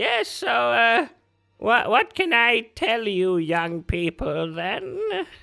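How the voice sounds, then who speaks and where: In a put-on character voice, the speaker uses a fairly high pitch and a very slow pace. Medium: actual play. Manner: mishears words, asks for repetition.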